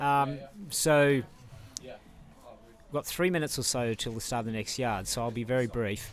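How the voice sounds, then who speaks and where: Pitch variation here is ordinary. The voice carries an Australian accent. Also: man, medium pitch for a man, moderate pace. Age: 60s. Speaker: ultrarunner. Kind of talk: live interview.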